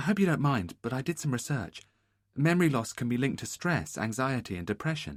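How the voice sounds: Lively intonation runs through a natural reading voice. Nothing can be heard behind it.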